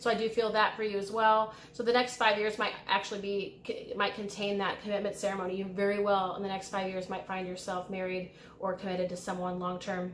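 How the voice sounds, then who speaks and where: A woman with an American accent speaks at a medium pitch and a fairly quick pace, with hardly any pauses. Her intonation is monotone and flat, and audible room echo surrounds her voice. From US Midwest, Illinois. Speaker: tarot reader and spiritual guide. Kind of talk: pick-a-card tarot reading. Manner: casual, with fillers and hesitations.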